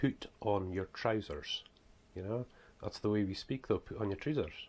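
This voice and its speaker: A man with a strong Scottish accent at a moderate pace. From Scotland. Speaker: author and preacher. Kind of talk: casual vlog talk. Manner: hesitant, many fillers.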